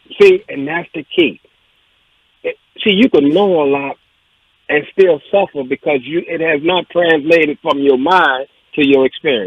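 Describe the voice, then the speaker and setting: A fairly high-pitched man with ordinary pitch variation and long, frequent pauses. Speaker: radio talk show co-host. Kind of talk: casual talk radio discussion. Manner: fast; animated.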